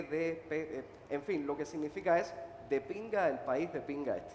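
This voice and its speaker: Over noticeable background noise and audible room echo, a man with a high pitch talks at a fairly quick pace with ordinary pitch variation. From Cuba, Holguín (eastern Cuba). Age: 30s. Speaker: playwright and activist. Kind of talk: panel discussion. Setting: stage with audience at book fair.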